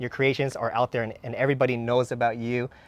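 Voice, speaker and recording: A normal speaking voice with fairly even intonation comes through with a dry, close sound and no echo. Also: man. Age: young. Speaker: dragon fruit grower and channel host. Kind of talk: casual garden tour chat.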